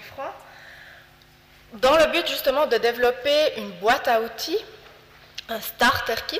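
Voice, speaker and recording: A woman speaks in a Swiss French accent, her pitch varying in an ordinary way. Noticeable background noise can be heard. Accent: Fribourg Swiss French. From Switzerland, Fribourg. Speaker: health promotion foundation representative. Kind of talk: presentation talk.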